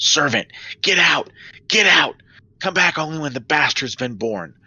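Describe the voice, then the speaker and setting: A man puts on a raspy, growling character voice, fairly high in pitch with very wide pitch swings, delivered at a moderate pace. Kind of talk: imperious, commanding. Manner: snarling, furious.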